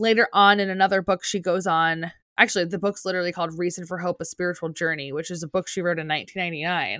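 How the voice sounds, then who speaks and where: A woman talks very fast in a New Jersey accent, her fairly low voice bright and sharp in tone. The recording is very clean and dry, close and without echo, over a silent background. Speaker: podcast co-host, teacher. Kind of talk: casual chat.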